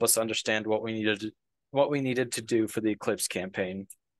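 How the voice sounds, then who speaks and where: A man's medium-pitched voice at a very fast pace, fairly even in intonation, dry and close with no echo, over a quiet background. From Wyoming. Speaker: undergraduate student presenter. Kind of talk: conference presentation.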